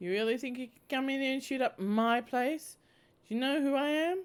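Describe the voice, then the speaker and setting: Female-sounding, high-pitched put-on character voice at a moderate speed. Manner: manic, booming.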